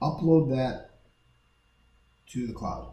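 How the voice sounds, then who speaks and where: Audible room echo surrounds a man's somewhat breathy voice. His tone is dark and mellow, with ordinary pitch variation. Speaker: real estate appraiser giving a software tutorial. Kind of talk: tutorial. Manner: fast.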